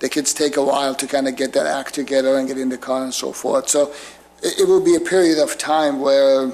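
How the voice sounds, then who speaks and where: A man's fairly high voice at a moderate pace, monotone and flat, over noticeable background noise. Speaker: applicant representing a congregation. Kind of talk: public meeting presentation. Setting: municipal commission meeting room. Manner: hesitant, repeats words.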